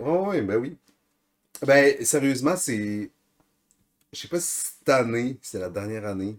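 Very slowly, a medium-pitched man talks with lively intonation and big swings in loudness. He leaves long, frequent pauses. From Bas-Saint-Laurent, Quebec. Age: 20s. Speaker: podcast co-host, skier. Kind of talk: casual chat.

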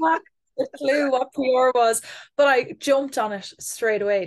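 A woman talks with an Irish Midlands accent and lively intonation. The background is quiet. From Ireland, Athlone, County Westmeath. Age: 20s. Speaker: communications executive. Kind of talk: interview.

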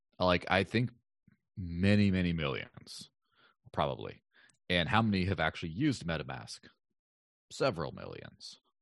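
Against a quiet background, a man with a very deep, low pitch uses lively intonation and takes long, frequent pauses. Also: moderate pace. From northern Mexico. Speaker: cryptocurrency advocate. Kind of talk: casual chat.

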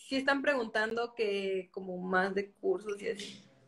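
A woman talks at a medium pitch. The rise and fall of her voice is ordinary. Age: 20s. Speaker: podcast host. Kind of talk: casual interview chat.

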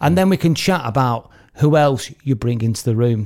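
A man with an English accent, medium pitch, ordinary pitch variation and a dark, mellow tone. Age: 40s. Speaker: wedding host and podcast host. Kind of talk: casual chat.

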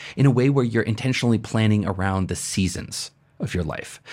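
The voice is somewhat breathy and moves at a fairly quick pace. The recording is very clean with a silent background. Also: man. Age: 40s. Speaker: podcast host and productivity coach. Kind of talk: casual chat. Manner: animated.

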